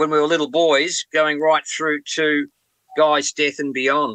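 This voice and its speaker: In an Australian accent, a man talks at a moderate pace with a fairly high pitch and a bright, sharp tone. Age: 70s. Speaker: rock drummer and author. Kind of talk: interview. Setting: remote call from a boat.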